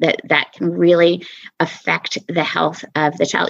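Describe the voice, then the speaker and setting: With an American accent, a woman speaks at a fairly slow pace and fairly low pitch. Her voice has vocal fry. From US Southwest. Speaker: podcast guest, parent. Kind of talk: interview conversation.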